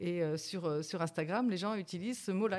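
At a moderate pace, the speaker has an unremarkable speaking voice with ordinary pitch variation. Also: woman. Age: 50s. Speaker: senior model and influencer. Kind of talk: casual chat.

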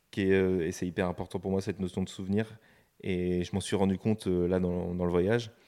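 A man speaks at a moderate pace with a very deep, low pitch. The recording is very clean, the background silent. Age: 20s. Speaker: podcast guest, nature photographer. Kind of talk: casual interview. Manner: hesitant, many fillers and repetitions.

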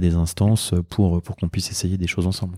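A very deep, low man's voice, dark and mellow in tone, flat and monotone at a fairly quick pace, with a dry, close sound, no echo and a very clean recording against a silent background. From Normandy, Le Havre. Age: 30s. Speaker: doctor and entrepreneur. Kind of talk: interview.

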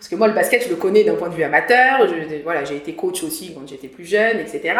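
With audible room echo, a woman at medium pitch lets her voice swing very widely. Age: 40s. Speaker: mental coach for athletes. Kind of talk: interview. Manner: hesitant, frequent fillers and repetitions.

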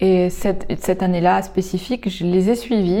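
Her dark, mellow voice sits at a medium pitch for a woman, moving at a fairly slow pace with fairly even intonation over a very clean recording and silent background. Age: 30s. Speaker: artist and healer. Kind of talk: interview.

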